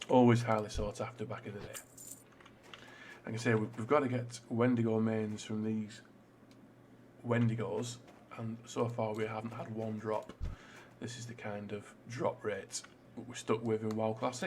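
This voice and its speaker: With long, frequent pauses, a man speaks at a moderate pace and medium pitch, somewhat breathy and monotone with flat intonation. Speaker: gaming YouTuber. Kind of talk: let's play commentary. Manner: casual with many fillers.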